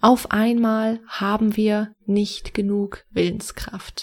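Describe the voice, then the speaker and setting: Dark, mellow tone in a woman's somewhat breathy voice. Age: 20s. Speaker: podcast host, personal development coach. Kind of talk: solo podcast monologue, advice.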